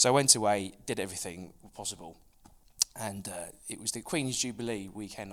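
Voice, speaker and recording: A man in an East Anglian accent, very fast with long, frequent pauses, fairly low in pitch with ordinary pitch variation and big swings in loudness. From Suffolk, England. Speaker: FX brokerage founder. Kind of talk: casual interview.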